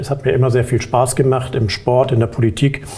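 The speech moves at a moderate pace in a flat, monotone intonation. Background noise is noticeable. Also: man. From Hamburg, northern Germany. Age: 50s. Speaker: insurance board candidate, insurance manager. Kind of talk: interview. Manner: hesitant, many filler sounds.

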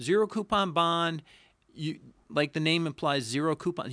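Here a man talks in a high voice with a bright, sharp tone. He keeps a moderate pace and ordinary pitch variation. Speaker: financial advisor podcast host. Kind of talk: informational Q&A discussion. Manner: explanatory, conversational.

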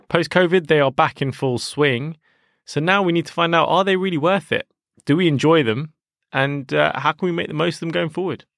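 Man with an unremarkable speaking voice, fairly high pitch and ordinary pitch variation, fairly quick pace, dry and close with no echo, quiet background. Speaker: podcast host, advertising professional. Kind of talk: casual interview chat.

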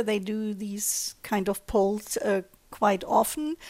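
A woman with a German accent and a medium pitch, in a very clean recording with a silent background. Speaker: communications director, interviewer. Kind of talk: interview.

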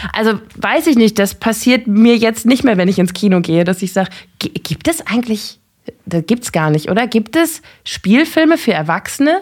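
Swinging very widely in pitch, a woman with a fairly high voice talks at a moderate speed. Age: 30s. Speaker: film journalist. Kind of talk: casual chat.

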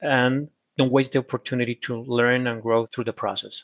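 A man with a Spanish accent talks at a moderate pace in a medium pitch, his intonation monotone and flat. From Colombia. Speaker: corporate procurement executive. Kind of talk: interview. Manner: halting.

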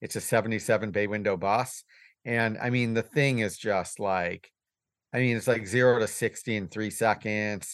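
A man talks in an ordinary speaking voice with fairly even intonation. The background is quiet. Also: fairly low pitch for a man, fairly slow pace. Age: 50s. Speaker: business owner, van repair shop. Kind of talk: casual chat.

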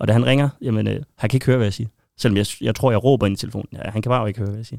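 A man speaks in a medium pitch. The sound is dry and close, with no echo. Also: very clean recording, silent background. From Denmark, Aarhus area. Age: 30s. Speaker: football shirt collector and fan. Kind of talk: casual interview.

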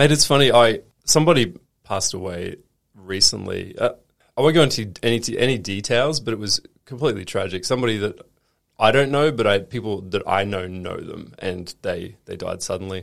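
With an Australian accent, a man talks at a fairly quick pace with lively intonation and big swings in loudness. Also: medium pitch for a man.

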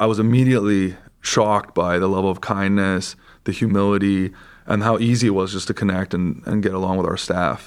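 A man with a western Canadian accent and a fairly low pitch, at a fairly quick pace, with fairly even intonation and very even loudness, on a very clean recording with a silent background. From Vancouver, Canada. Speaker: surgical resident. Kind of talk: casual interview.

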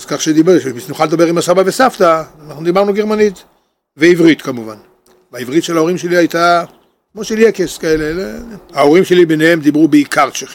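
The speech moves at a fairly quick pace with long, frequent pauses, big swings in loudness and ordinary pitch variation. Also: man, high pitch for a man. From Israel, Kiryat Motzkin near Haifa. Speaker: grandfather telling family history. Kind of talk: oral history storytelling. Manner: halting.

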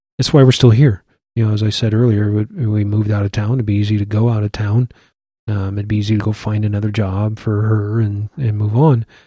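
A man with a Midwestern US accent talks at a fairly quick pace in a fairly low pitch, his tone dark and mellow. His intonation is monotone and flat, and his voice is somewhat breathy. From Iowa City, Iowa. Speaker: church elder, Air Force veteran. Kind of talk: casual interview.

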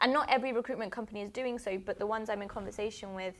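A woman with a British accent and vocal fry speaks at a very fast pace with fairly even intonation. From England. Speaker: tech network founder. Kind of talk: casual interview. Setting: studio.

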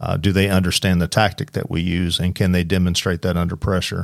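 A man's very deep, low voice in a Southern US accent, monotone and flat, at a very fast pace. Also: very clean recording, silent background. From Oklahoma. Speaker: police lieutenant, SWAT commander. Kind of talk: casual chat. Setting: studio.

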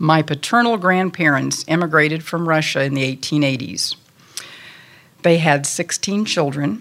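Speaking with an American accent, a woman with a very deep, low pitch talks at a fairly slow pace using lively intonation. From Topeka, Kansas, US Midwest. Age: 60s. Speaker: church women's group speaker. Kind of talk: personal testimony. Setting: church meeting with audience.

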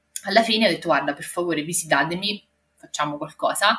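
In a slight Marche accent, a woman talks at a medium pitch. Her pitch variation is ordinary. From Marche, Italy. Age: 30s. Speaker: mother sharing birth story. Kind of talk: testimony. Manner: halting.

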